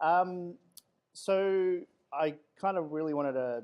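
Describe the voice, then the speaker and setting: A man with an Australian accent. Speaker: security architect. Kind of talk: guest talk. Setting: room with audience.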